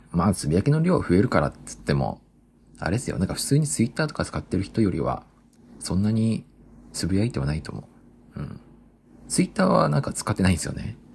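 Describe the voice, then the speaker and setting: Very fast speech broken by long, frequent pauses, with vocal fry and very wide pitch swings. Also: man, very deep, low pitch for a man. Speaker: solo podcaster. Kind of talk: casual monologue. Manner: casual, laughing.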